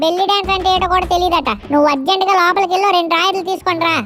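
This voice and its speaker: A put-on character voice at a very fast pace, with fairly even intonation, very even loudness and clear background noise. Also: woman, extremely high pitch for a woman. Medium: comedy sketch. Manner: cheeky, bossy.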